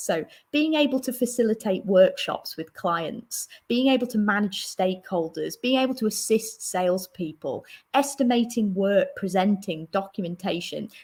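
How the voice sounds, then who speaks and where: A woman speaks at a moderate pace, somewhat breathy, with lively intonation. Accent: London. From London, England. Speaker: IT solution architect. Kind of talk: webinar presentation. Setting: live stream video call with screen share.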